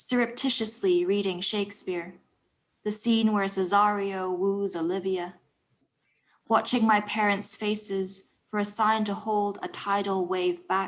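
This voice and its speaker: A woman's medium-pitched, monotone, flat delivery at a fairly slow pace. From Hong Kong. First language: Cantonese. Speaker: poet. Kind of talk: poetry reading.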